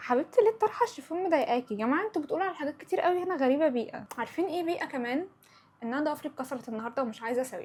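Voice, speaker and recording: In an Upper Egyptian accent, the speaker rushes at a very fast pace with an animated tone and very wide pitch swings. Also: woman, high pitch for a woman. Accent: Upper Egyptian (Sa'idi) dialect. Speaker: podcast host. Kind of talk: casual chat.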